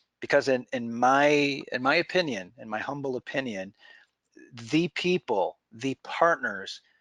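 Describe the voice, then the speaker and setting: Dry and close with no echo, a man's medium-pitched voice moves at a very slow pace. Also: very clean recording, silent background. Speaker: webinar presenter. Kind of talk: sales pitch. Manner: halting, many repeated words.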